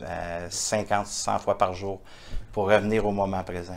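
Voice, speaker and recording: Flat and monotone, a man with a Quebec accent speaks fairly slowly in a fairly low pitch. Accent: Québécois. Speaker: entrepreneur, author and international speaker. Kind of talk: interview answer. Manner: warm, heartfelt.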